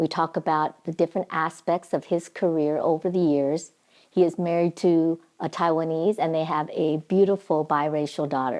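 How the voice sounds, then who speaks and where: A woman with a plain, everyday voice speaks at a moderate pace, her pitch fairly low and her intonation fairly even, against a quiet background. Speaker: podcast host. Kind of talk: podcast intro.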